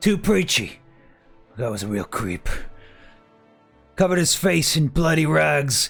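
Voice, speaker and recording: A man's raspy, put-on character voice at a moderate pace, with faint music in the background. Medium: actual play. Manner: haggling, streetwise, calls people love.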